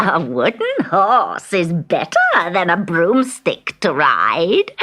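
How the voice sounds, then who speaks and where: A female-sounding, cackling put-on character voice at medium pitch, very slow in pace. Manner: cackling, gleeful.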